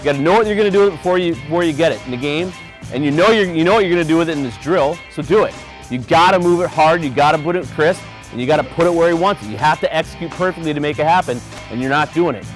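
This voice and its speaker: Speech comes at a very fast pace with ordinary pitch variation, the sound dry with no echo and faint music behind it. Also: man. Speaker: hockey head coach. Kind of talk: coaching instructions to players. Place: stadium. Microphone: lapel.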